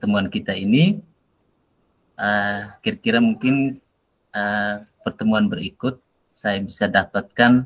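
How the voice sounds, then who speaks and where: Fairly slow speech from a man, medium in pitch and with ordinary pitch variation. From Nusa Tenggara Timur, Indonesia. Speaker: teacher acting as coach. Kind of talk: coaching session role-play. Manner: hesitant with fillers.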